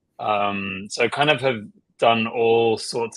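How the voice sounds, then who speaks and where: The speaker is a man. He has an Australian accent. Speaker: marketing executive. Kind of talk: interview. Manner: casual, filler-heavy.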